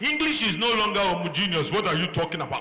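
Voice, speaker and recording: A man's raised, projected voice at a high pitch with a strong Nigerian accent, very fast pace and ordinary pitch variation, amid noticeable background noise and audible room echo. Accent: thick Nigerian English. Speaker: panelist, doctor. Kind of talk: panel discussion. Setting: stage with audience.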